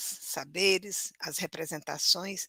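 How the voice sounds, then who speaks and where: Speaking at a very slow pace, a woman has a bright, sharp tone and a Cearense accent. The sound is dry and close, with no echo. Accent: Cearense northeastern Brazilian Portuguese. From Brazil, northern interior of Ceará near Sobral. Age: 60s. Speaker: teacher. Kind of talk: lecture.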